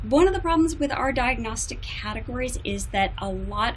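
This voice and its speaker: An American accent at a moderate pace, with audible room echo and noticeable background noise. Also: woman. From United States. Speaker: psychologist. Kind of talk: conference talk. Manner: formal.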